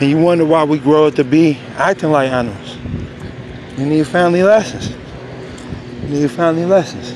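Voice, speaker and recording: A man's voice at a moderate pace with ordinary pitch variation, dry with no echo but with noticeable background noise. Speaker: vlogger. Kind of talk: casual vlog rant. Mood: upset, preachy about parenting. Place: street. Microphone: phone near.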